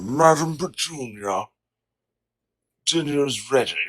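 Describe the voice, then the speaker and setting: Putting on a character voice, a man pitches it fairly high. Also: fairly slow pace. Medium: audio drama. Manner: polite, warm.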